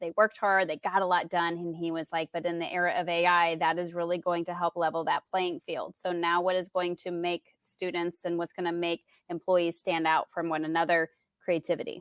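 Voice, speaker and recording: A woman with a fairly low pitch speaks at a fairly quick pace in a monotone, flat delivery, the sound dry and close with no echo. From Indiana. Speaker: tech coach. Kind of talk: casual interview chat.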